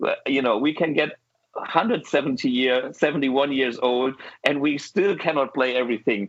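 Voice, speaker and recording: Speaking with a German accent, a man talks at a moderate pace in a fairly high pitch, with ordinary pitch variation. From Germany. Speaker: guitar show host. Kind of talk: casual chat. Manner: animated.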